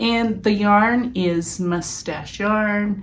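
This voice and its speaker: Audible room echo hangs on the speech, whose intonation stays fairly even. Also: woman. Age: 50s. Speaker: knitting podcaster. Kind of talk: casual chat. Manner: casual, halting with fillers.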